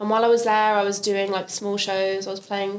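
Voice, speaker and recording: Speaking fairly quickly, a woman keeps a medium pitch and a monotone, flat intonation. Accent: London. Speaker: singer. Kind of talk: interview.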